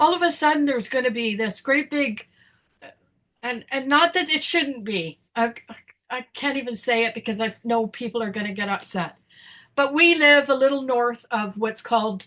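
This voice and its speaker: Bright and sharp in tone, a woman's high-pitched voice carries a Canadian accent. She moves at a moderate pace with lively intonation. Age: 60s. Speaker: podcast co-host. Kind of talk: casual chat. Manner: animated; halting.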